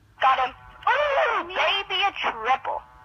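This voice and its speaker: Someone shouts in a put-on character voice. It is squeaky and extremely high, with very wide pitch swings. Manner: screaming, excited.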